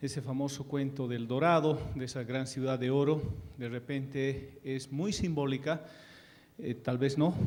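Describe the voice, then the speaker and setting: Speaking fairly slowly in an Andean accent, a man with a fairly high pitch keeps his intonation fairly even, with audible room echo. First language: Quechua (speaking Spanish). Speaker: ambassador. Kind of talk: conference talk. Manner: hesitant fillers.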